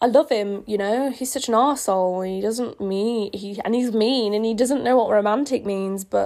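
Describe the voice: Ordinary pitch variation in plain reading aloud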